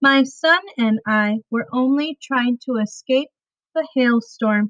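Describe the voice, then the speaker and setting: A woman uses a put-on character voice with a high pitch at a fairly slow pace. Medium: read story. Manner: precise, formal.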